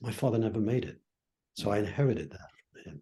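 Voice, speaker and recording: Somewhat breathy and dark, mellow in tone, a man speaks with an American accent and ordinary pitch variation. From Brooklyn, New York, US. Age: 80s+. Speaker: professor of psychology. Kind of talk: interview conversation. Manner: reflective storytelling.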